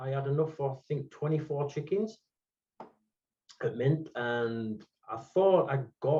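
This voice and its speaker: A somewhat breathy man with a Yorkshire accent, a fairly high pitch and lively intonation. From England, Hemsworth (Yorkshire). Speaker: podcast guest, NFT collector. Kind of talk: casual chat.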